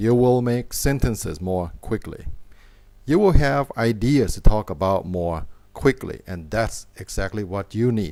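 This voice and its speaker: With a Thai accent, a man speaks at a fairly slow pace in a fairly low pitch, his dark, mellow tone carried by lively intonation. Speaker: English teacher. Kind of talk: tutorial. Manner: slow, clear.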